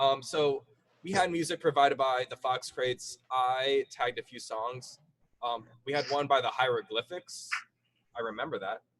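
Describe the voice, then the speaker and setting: Recorded dry and close with no echo, a man with a fairly high voice talks at a moderate pace with ordinary pitch variation. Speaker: comedy show host. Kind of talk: live stream comedy hosting. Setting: studio with foam board and headphones. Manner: casual, many fillers.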